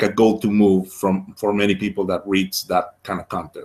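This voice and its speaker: Someone with a Spanish accent talks at a moderate pace on a very clean recording with a silent background. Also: man. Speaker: project owner defending a funding proposal. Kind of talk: interview. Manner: halting, many repetitions and fillers.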